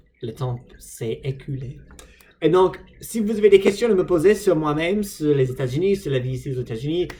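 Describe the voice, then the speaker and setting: This man talks at a moderate pace with a dark, mellow tone. His pitch sits fairly high. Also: lively intonation. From United States. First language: English (speaking French). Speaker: vlogger, language learner. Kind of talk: casual vlog monologue. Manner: halting, many hesitations.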